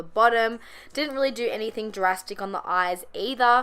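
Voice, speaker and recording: In a very clean recording with a silent background, a woman talks at a fairly high pitch with ordinary pitch variation. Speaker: makeup artist. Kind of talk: tutorial. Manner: fast.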